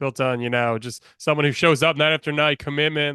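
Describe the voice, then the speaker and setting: This man talks at a very fast pace in a fairly high pitch. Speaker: podcast host, wrestling book club interviewer. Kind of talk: interview questions to a guest.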